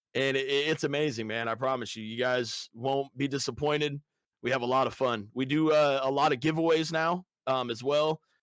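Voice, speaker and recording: Very clean recording, silent background, of a man with an American accent at a medium pitch. He talks at a fairly quick pace with fairly even intonation. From US Midwest, Des Moines, Iowa. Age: 30s. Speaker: Twitch streamer and gamer. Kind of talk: casual interview chat. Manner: frequent filler ums, hesitant.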